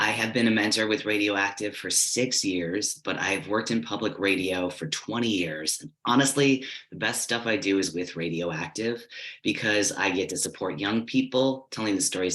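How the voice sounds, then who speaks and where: A man with an American accent and a plain, everyday voice speaks at a moderate pace and a fairly low pitch, with ordinary pitch variation. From United States. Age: 40s. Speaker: public radio journalist and youth mentor. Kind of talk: workshop presentation. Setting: virtual workshop.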